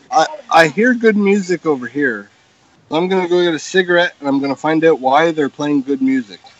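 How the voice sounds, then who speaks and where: Speaking at a fairly quick pace, a man with a fairly high pitch is heard over noticeable background noise. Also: lively intonation. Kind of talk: casual chat. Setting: live stream.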